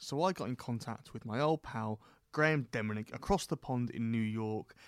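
A man talks with ordinary pitch variation in a dry, close sound with no echo. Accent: British. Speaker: politics podcast host. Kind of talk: casual chat. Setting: remote call to New York.

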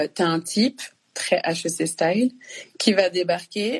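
There is lively intonation in this woman's somewhat breathy voice. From France (born in Congo, moved at two). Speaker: artist and actress. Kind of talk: casual conversation on a live stream. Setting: Instagram live.

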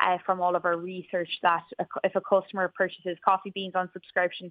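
Speaking at a fairly low pitch, a woman talks with an Irish accent. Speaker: business founder. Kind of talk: radio interview.

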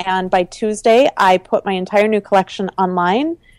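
A normal speaking voice with an American accent, ordinary pitch variation and a moderate pace, in a dry, close sound with no echo. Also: woman. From US Midwest (Minnesota). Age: 30s. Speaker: entrepreneur and fashion designer. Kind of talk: interview conversation.

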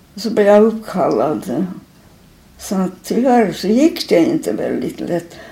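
Here a woman speaks at a very slow pace. Her pitch is medium, with very wide swings. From Finland, Helsinki. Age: 80s+. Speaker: elderly artist and typographer. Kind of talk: interview. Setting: at her home. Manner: halting.

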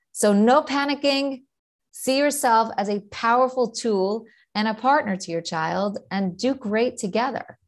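A woman with a New York accent talks at a fairly slow pace against a quiet background. Her pitch is fairly high, with ordinary variation. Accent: New York American. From New York, US. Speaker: ADHD coach and author, mother, teacher. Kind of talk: interview, casual chat.

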